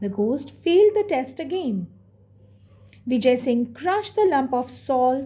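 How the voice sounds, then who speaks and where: Her high voice dark and mellow in tone, a woman speaks with very wide pitch swings. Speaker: school teacher. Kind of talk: lesson explanation retelling a story to students. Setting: online classroom video. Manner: clear, didactic, explanatory.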